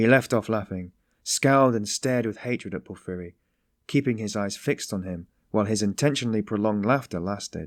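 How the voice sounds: Against a quiet background, a natural reading voice comes through with ordinary pitch variation.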